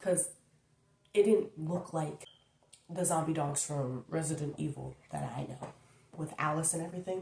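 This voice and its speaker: Soft-spoken and with vocal fry, a woman talks at a moderate pace in a very deep, low pitch with ordinary pitch variation and long, frequent pauses. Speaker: YouTuber. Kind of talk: casual chat.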